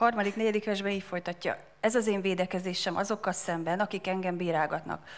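Speaking at a very fast pace, a woman keeps a medium pitch and fairly even intonation. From Hungary. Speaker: interpreter. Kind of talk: sermon interpreting. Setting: church. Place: church. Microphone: handheld.

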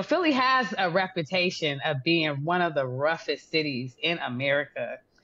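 A woman's warm yet bright, sharp tone, with very wide pitch swings, at a moderate pace. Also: hardly any pauses. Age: 40s. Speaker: podcast host and interviewer; podcast host, interviewer. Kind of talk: interview. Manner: warm and effusive. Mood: warm, admiring. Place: home room. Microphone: video call.

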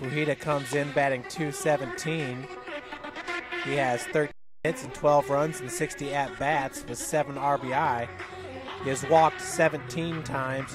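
A man speaks very slowly with clear music in the background. The sound is dry, with no echo. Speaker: play-by-play announcer. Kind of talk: sports commentary. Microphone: headset.

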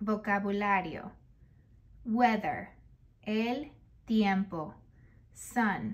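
Somewhat breathy and fairly high, a woman's voice moves with ordinary pitch variation. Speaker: children's book reader. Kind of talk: reading aloud. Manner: slow.

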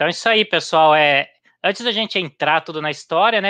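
A fairly high-pitched man's voice with a bright, sharp tone, ordinary pitch variation, and a quiet background. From Brazil. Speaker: running channel host; live-stream host interviewer. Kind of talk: casual chat. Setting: at home in kitchen. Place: home room. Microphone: headset.

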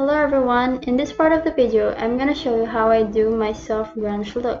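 There is music in the background. A woman speaks at a high pitch with ordinary pitch variation. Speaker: beauty vlogger. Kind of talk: makeup tutorial narration.

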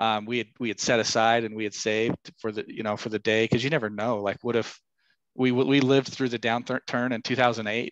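At a fairly quick pace, a man speaks in a medium pitch with monotone, flat intonation, the sound dry with no echo and the background quiet. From Idaho, US. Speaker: commercial real estate broker and business owner; podcast guest. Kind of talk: interview. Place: home room. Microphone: headset.

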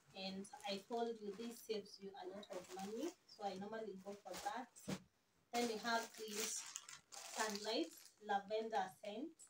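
A woman speaks at a fairly slow pace with fairly even intonation, a medium pitch and a slightly husky edge.

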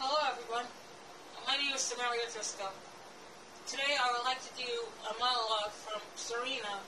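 A woman talks at a fairly quick pace in a high pitch. Her intonation is monotone and flat, with noticeable background noise behind her. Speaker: amateur actress. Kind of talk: acted monologue with a spoken intro. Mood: earnest, somewhat nervous. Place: home room.

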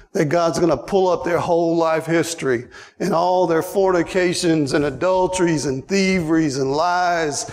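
A man with a high pitch speaks at a moderate pace. His loudness stays very even, and his intonation is fairly even. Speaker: preacher. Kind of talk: sermon. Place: church.

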